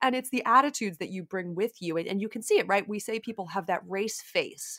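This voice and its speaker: A woman speaks in a normal speaking voice at a fairly quick pace. The recording is very clean, with a silent background. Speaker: running coach podcast host. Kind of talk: podcast conversation with ad reads.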